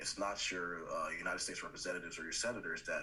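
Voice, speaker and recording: Very fast talking from a man, with noticeable background noise behind it. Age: 20s. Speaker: city council member. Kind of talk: panel discussion.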